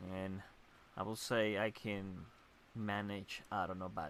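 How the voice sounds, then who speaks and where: In a Spanish accent, a man talks with a fairly low pitch. His intonation stays fairly even. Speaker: gamer streamer. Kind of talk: gameplay commentary. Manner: halting.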